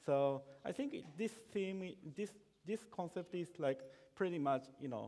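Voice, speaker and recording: Lively intonation and a dark, mellow tone in a Japanese accent, with long, frequent pauses. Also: man, high pitch for a man. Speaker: software developer. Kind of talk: conference talk. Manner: halting, many fillers and repetitions.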